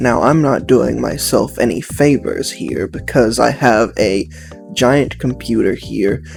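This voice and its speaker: A man with an American accent at a fairly slow pace, music playing in the background. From United States. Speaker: YouTuber. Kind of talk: casual talk to camera.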